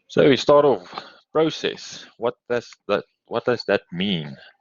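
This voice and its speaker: A man with a South African accent speaks at a fairly slow pace with ordinary pitch variation. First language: Afrikaans. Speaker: university lecturer. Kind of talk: lecture. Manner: hesitant, many fillers.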